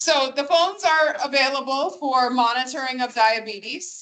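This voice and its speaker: The voice is loud, with a bright, sharp tone, ordinary pitch variation and a moderate pace. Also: woman. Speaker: school district official. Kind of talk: q&a at public meeting. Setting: meeting room with microphone. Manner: formal.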